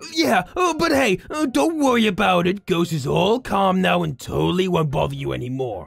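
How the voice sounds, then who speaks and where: A put-on character voice at middle pitch, hardly any pauses, music in the background. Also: moderate pace. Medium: role play. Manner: playful, teasing.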